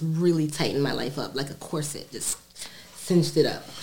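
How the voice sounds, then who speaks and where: A woman talks at a fairly quick pace in a very deep, low voice. Her intonation stays monotone and flat over noticeable background noise. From New York, Brooklyn. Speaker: cannabis cultivator and hash maker. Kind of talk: casual chat. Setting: studio.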